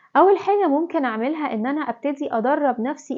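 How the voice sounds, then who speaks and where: A woman with an Egyptian accent at a moderate pace. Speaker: parenting advice vlogger, mother. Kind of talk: talk-to-camera parenting tips. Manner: conversational, informal.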